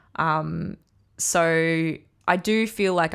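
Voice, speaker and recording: A woman with an Australian accent and fairly low pitch, on a very clean recording with a silent background. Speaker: podcast host. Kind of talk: solo podcast monologue.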